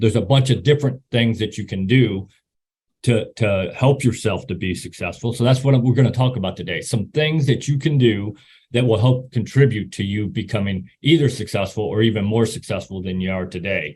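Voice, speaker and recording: A man with an American accent, medium-pitched and somewhat breathy, at a fairly quick pace with ordinary pitch variation. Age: 60s. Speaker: retired army officer and motivational speaker. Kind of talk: presentation talk. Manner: halting, repeats words.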